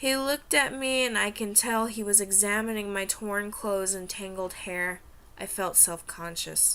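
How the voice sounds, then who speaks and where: The tone is bright and sharp. Delivery moves at a moderate pace. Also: woman. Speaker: aspiring writer and vlogger. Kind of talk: reading aloud. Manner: stuttering; halting.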